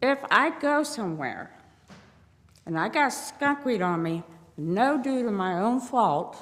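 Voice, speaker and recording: Very slowly and with long, frequent pauses, a woman speaks in an American accent. Her high voice swings very widely in pitch. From Ohio. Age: 60s. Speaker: public commenter. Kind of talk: public comment at meeting. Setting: city board meeting. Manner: pleading.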